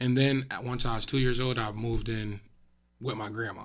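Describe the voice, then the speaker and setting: A man with an American accent speaks at a moderate pace with a medium pitch and a bright, sharp tone. The recording is very clean, with a silent background. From upstate New York (Syracuse). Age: 20s. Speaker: teacher and motivational speaker. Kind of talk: interview.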